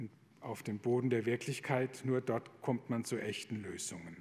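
A man talks at a fairly slow pace with medium pitch and ordinary pitch variation. He has an ordinary speaking voice. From Palatinate, southwest Germany. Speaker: Jesuit priest. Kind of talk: lecture.

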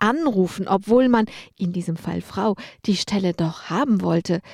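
A woman at a medium pitch and a fairly slow pace with ordinary pitch variation, in a plain, everyday voice, with a dry, close sound with no echo in a very clean recording over a silent background. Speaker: radio journalist and columnist. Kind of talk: scripted narration.

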